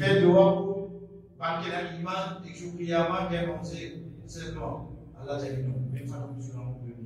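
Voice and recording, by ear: With few pauses, a man speaks at a fairly high pitch in a slightly mellow tone and fairly even intonation, amid strong room echo. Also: moderate pace.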